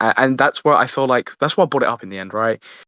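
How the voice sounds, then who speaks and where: With a British accent, a man speaks at medium pitch in a dry, close sound with no echo. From UK. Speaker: podcast host. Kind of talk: casual chat. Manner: halting.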